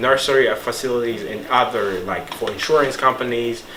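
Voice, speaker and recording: A man with a Rwandan accent talks at a moderate pace, with audible room echo and noticeable background noise. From Rwanda, Kigali. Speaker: nursing student. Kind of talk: casual monologue. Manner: halting.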